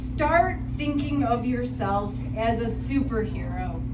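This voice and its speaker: Amid loud background noise, a woman talks at a very slow pace. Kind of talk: reading aloud to an audience. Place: hall. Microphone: camera far.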